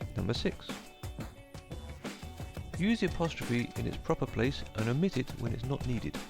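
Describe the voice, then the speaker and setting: With a British accent, a man talks with long, frequent pauses while music plays in the background. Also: moderate pace. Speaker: English teacher.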